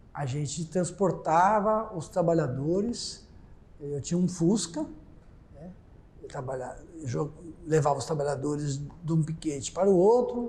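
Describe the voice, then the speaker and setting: A high-pitched man with a dark, mellow tone talks fairly slowly with ordinary pitch variation, long and frequent pauses, and big swings in loudness. Audible room echo surrounds his voice. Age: 70s. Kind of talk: oral history testimony. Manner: halting, with frequent repetitions.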